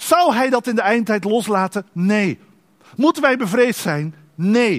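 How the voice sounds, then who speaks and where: The speech is very slow with lively intonation. The recording is very clean with a silent background and a dry, close sound with no echo. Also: man. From Netherlands, Dordrecht. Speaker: pastor. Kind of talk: sermon.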